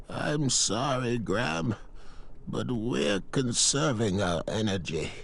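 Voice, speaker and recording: Over clear background noise, a man uses a put-on character voice at medium pitch, speaking at a fairly slow pace. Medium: video game. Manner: chirpy, whimsical.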